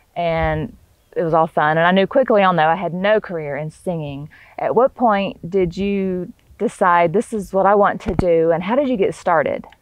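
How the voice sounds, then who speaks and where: At a moderate pace, a woman with a medium-pitched voice speaks with ordinary pitch variation, the sound dry with no echo. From Northwest Florida. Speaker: podcast host, entrepreneur. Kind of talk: casual interview chat. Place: farm machine. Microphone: lapel.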